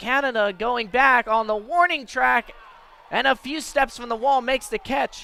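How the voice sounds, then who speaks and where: A man speaks in a raised, projected voice at an extremely high pitch with ordinary pitch variation. The sound is dry and close with no echo, with noticeable background noise. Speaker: radio sports play-by-play announcer. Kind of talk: radio baseball play-by-play.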